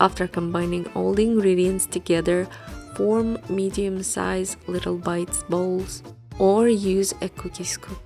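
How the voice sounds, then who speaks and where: A woman's voice at a fairly slow pace, with music in the background. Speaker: recipe video creator. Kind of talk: recipe tutorial voice-over.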